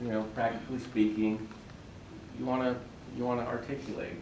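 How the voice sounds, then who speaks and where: Mumbling at a fairly quick pace with long, frequent pauses, this voice keeps a fairly even intonation over noticeable background noise and audible room echo. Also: man. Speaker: physician speaker. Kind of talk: talk to students. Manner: halting.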